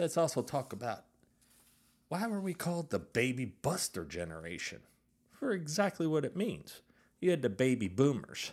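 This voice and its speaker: Recorded very cleanly against a silent background, a man with a fairly high pitch and vocal fry talks at a moderate pace, with very wide pitch swings and long, frequent pauses. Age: 50s. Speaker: podcast host. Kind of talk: solo podcast monologue. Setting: studio. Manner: animated.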